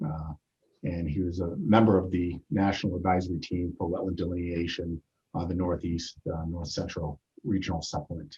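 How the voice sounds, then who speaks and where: Very deep, low pitch from a man at a moderate pace. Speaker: chapter president and meeting moderator. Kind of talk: meeting introduction of speakers. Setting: video call webinar. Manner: loud; halting, many fillers.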